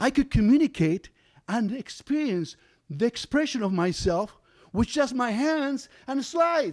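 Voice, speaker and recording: With a Spanish accent, a man speaks at an extremely high pitch and a fairly slow pace with very wide pitch swings, in a dry, close sound with no echo on a very clean recording with a silent background. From Argentina. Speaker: storyteller. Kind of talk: live storytelling.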